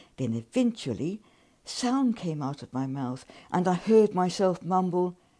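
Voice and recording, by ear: Someone is reading aloud in a natural voice, the intonation rising and falling in a lively way.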